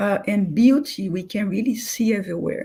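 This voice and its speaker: A woman speaks with a fairly high pitch. Her voice is somewhat breathy, with ordinary pitch variation. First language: not English. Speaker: spiritist speaker. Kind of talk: talk. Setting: online live stream. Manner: halting, with fillers.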